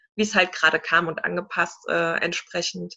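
This woman's voice sits at a fairly low pitch. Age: 30s. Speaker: entrepreneur and mentor. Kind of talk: interview.

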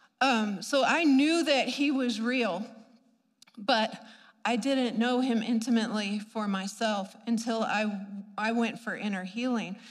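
In a room with audible echo, a woman talks at a fairly slow pace, her fairly high pitch showing ordinary variation. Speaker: preacher. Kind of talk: sermon. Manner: animated.

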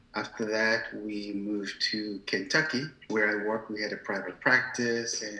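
A man's medium-pitched voice at a moderate pace, against noticeable background noise. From Nigeria, Ibadan, then London. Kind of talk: casual interview chat.

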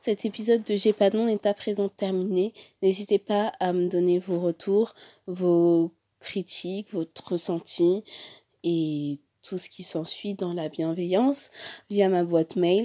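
In a very clean recording with a silent background and a dry, close sound with no echo, a woman speaks very slowly at medium pitch with fairly even intonation and a dark, mellow tone. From France. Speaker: podcast host. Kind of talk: casual chat; scripted outro. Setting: socio-cultural centre room.

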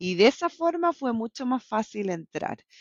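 A woman talks at a fairly slow pace in a fairly high pitch. Her voice moves in very wide pitch swings. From Chile (La Serena), born in Bolivia. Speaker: salmon industry scientist turned commercial professional. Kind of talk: casual interview. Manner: animated.

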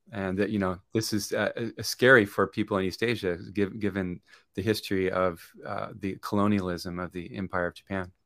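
On a very clean recording with a silent background, a man speaks at a moderate pace with a fairly low pitch and fairly even intonation. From Southern California. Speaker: professor and peace activist. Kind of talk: interview conversation. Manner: halting, many fillers and restarts.

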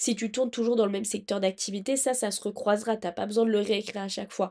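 A woman's fairly high-pitched voice with a dark, mellow tone against a quiet background. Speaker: podcast host giving job-search advice. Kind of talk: casual solo advice monologue.

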